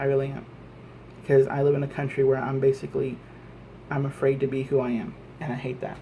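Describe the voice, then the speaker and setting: A man with an American accent and medium pitch speaks in a monotone, flat intonation. His pace is very fast, broken by long, frequent pauses. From Texas, Lubbock. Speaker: vlogger. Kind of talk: political rant monologue. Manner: halting, repetitive.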